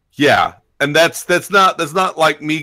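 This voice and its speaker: A man speaks loudly in a fairly high pitch, his tone bright and sharp. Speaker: game streamer. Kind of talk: casual chat.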